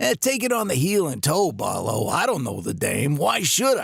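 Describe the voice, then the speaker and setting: A man's put-on character voice, high in pitch with very wide pitch swings. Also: moderate pace. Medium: audio drama. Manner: gruff, hesitant.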